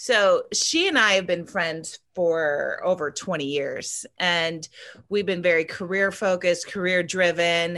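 Speaking at a moderate pace with an American accent, a woman of medium pitch has an unremarkable speaking voice. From Ohio (Waterville). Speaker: filmmaker and actress. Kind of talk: interview.

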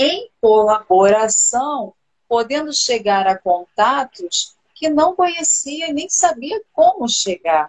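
A woman's high-pitched voice at a very slow pace, with very wide pitch swings. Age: 40s. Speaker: live stream host, former teacher. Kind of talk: casual chat.

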